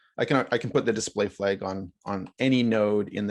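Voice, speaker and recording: A man with a plain, everyday voice and fairly low pitch talks at a moderate pace with ordinary pitch variation against a quiet background. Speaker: workshop instructor. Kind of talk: live software tutorial. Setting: video call.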